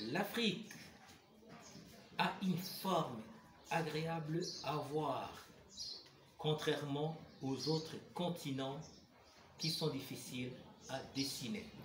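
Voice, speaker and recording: A man with a Burundian accent speaks at a fairly high pitch and a very slow pace, leaving long, frequent pauses. Audible room echo and noticeable background noise are present. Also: ordinary pitch variation. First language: Kirundi (speaking French). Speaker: writer and poet. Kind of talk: talk explaining a poetic form to camera. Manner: formal.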